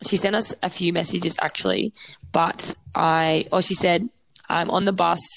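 A woman with an Australian accent, vocal fry and fairly even intonation. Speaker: podcast co-host. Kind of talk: casual chat. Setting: remote call.

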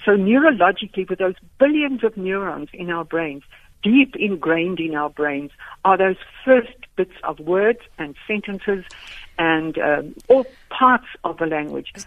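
At a fairly slow pace, a woman with a medium pitch speaks with lively intonation and big swings in loudness. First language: Afrikaans. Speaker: education professor. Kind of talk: radio interview. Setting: phone call.

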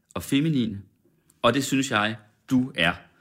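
A man with an unremarkable speaking voice talks at a fairly slow pace with ordinary pitch variation. The recording is very clean, with a silent background. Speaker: radio host. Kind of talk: casual interview chat over champagne. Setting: studio.

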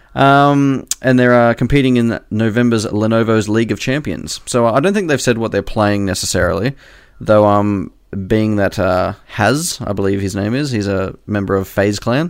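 Here a man with an Australian accent speaks at a medium pitch and moderate pace, with ordinary pitch variation. The recording is very clean with a silent background. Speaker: podcast co-host. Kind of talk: casual chat.

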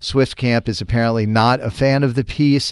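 A normal speaking voice with an American accent, at a moderate pace. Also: man. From Boston, Massachusetts (Charlestown). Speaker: morning radio host. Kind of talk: morning radio show chat.

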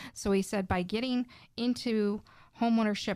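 A woman's normal speaking voice at a moderate pace with fairly even intonation, in a very clean recording with a silent background. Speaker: real estate agent. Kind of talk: casual chat.

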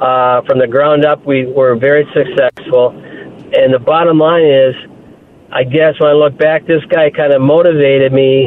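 This man speaks at a moderate pace with a fairly high pitch and fairly even intonation. Noticeable background noise sits behind him. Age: 60s. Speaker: caller, retired investment professional. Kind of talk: phone-in story. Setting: phone call.

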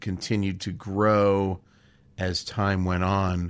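A man with a Californian accent and a fairly low voice speaks very slowly in monotone, flat intonation, in a very clean recording with a silent background. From Southern California (Los Angeles). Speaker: comedy writer and actor. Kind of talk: casual interview chat.

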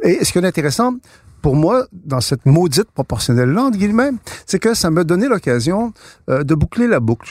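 Recorded very cleanly against a silent background, a man's voice swings very widely in pitch. The sound is dry and close, with no echo. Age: 60s. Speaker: author and political thinker. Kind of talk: interview. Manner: halting, many repeated words.

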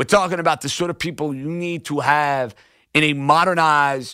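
Fairly high in pitch, a man talks at a moderate pace in a bright, sharp, animated tone. The recording is very clean, with a silent background. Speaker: sports radio host. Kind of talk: opinionated sports radio monologue. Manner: animated, opinionated, rant-like.

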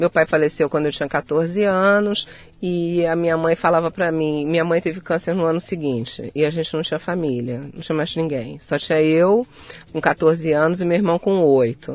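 She is a woman with a Rio de Janeiro accent and a fairly low pitch. Her pace is moderate, with ordinary pitch variation. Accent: Carioca Brazilian Portuguese. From Rio de Janeiro, Brazil. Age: 60s. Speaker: psychologist and author. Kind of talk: interview conversation.

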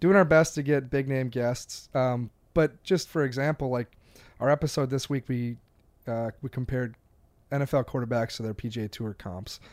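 A man with an American accent has an ordinary speaking voice at a medium pitch, with ordinary pitch variation. He talks at a fairly quick pace on a very clean recording with a silent background. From Wisconsin, Door County. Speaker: golf writer. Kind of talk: casual chat.

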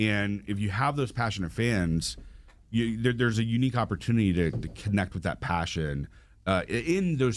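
With an American accent, a man in a plain, everyday voice talks at a moderate pace and a fairly low pitch, using lively intonation. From Atlanta area, US South. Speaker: marketing agency owner, soccer supporter organizer. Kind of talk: casual interview chat.

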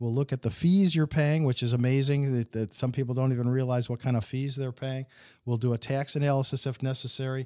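Very clean and against a silent background, a man with an American accent talks at a very fast pace. His tone is dark and mellow, with medium pitch and fairly even intonation. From Illinois, US. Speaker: financial advisor. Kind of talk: casual chat.

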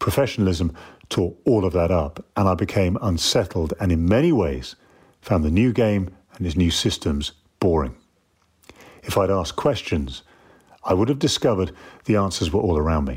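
A man's very deep, low voice with vocal fry and lively intonation, at a moderate pace with long, frequent pauses, on a very clean recording with a silent background. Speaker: former rugby player and TV presenter. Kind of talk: scripted talk. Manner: formal.

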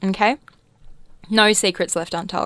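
With an Australian accent, a woman talks at a moderate pace and a medium pitch. Her pitch varies in an ordinary way, and the recording is very clean with a silent background. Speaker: radio host. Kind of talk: casual radio chat. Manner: animated.

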